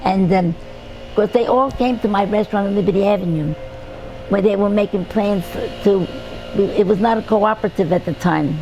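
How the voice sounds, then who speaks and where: A woman with a New York accent, long, frequent pauses, and noticeable background noise. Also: medium pitch for a woman, ordinary pitch variation, moderate pace. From New York City (Brooklyn). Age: 80s+. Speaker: retired restaurant owner. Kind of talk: oral history interview. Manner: halting.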